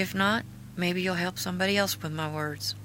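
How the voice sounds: A fairly low-pitched woman's voice, moderate in pace, with fairly even intonation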